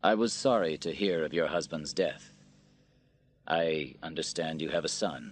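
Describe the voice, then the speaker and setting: A man puts on a character voice with a very deep, low pitch and ordinary pitch variation, speaking at a moderate pace over a quiet background. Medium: read story. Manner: reserved, quiet.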